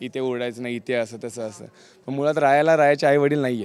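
A man with an unremarkable speaking voice, fairly high in pitch, with fairly even intonation. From rural Maharashtra, Pandharpur area. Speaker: TV serial actor. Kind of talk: interview.

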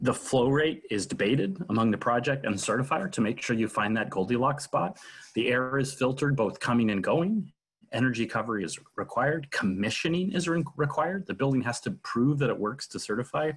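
A man talks at a fairly quick pace with lively intonation and a somewhat breathy voice. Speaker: webinar host. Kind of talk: prepared talk on a video call. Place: home room. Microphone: video call.

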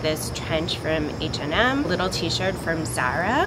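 Loud background noise fills the clip. A woman talks at a moderate pace. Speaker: vlogger. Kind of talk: casual talk to camera. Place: garden.

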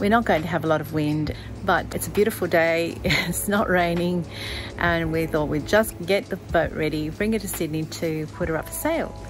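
Clear music plays in the background as a woman speaks. She moves at a fairly quick pace with ordinary pitch variation. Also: fairly low pitch for a woman. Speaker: sailing vlogger. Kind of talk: casual vlog chat. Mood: cheerful, smiling. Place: garden. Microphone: phone near.

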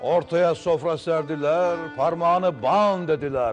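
Here a man speaks at a high pitch and a very slow pace. Faint music plays in the background. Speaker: politician. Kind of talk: poetry reading. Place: studio. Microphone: lapel.

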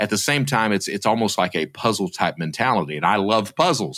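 On a very clean recording with a silent background and a dry, close sound with no echo, a man with an Appalachian accent speaks at a fairly low pitch with lively intonation. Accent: Appalachian Southern US. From Eastern Kentucky, US South. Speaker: former fraudster turned security expert. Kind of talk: interview.

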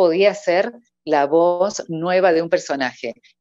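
The speaker is a woman with a fairly low pitch. The background is quiet. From Argentina, Córdoba; Argentina. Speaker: professional voice-over artist and announcer; announcer. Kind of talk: casual interview. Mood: cheerful, laughing. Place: home room. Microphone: earbuds.

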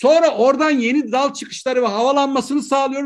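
A man with an extremely high pitch speaks with fairly even intonation against a quiet background. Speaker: agricultural scientist. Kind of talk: lecture. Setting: video call.

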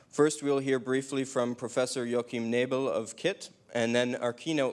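Speech comes at a fairly quick pace. Intonation is fairly even. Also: man. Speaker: event host. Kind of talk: event introduction. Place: hall. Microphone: handheld.

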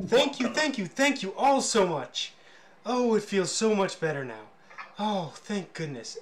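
This is a put-on character voice with a fairly high pitch. The pace is fairly slow. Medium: actual play. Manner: joyful, effusive.

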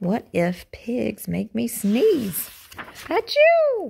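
Using a put-on character voice, a woman speaks at a very slow pace in a fairly high pitch with very wide pitch swings, vocal fry, a slightly husky edge and a slightly mellow tone.

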